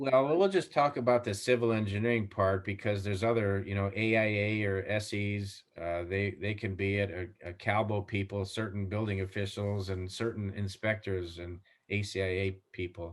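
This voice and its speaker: A man with an ordinary speaking voice talks at a moderate pace with hardly any pauses, in a fairly low pitch with fairly even intonation. The recording is very clean, with a silent background. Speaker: civil engineer and concrete supplier technical manager. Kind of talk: interview.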